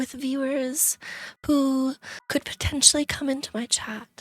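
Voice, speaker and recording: Music plays in the background as a woman speaks at a fairly slow pace in a high pitch. The sound is dry and close, with no echo. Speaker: VTuber streamer. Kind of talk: casual talk to stream audience.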